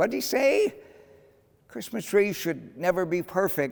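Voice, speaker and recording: A man's put-on character voice, high in pitch, with lively intonation at a fairly slow pace. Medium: read story.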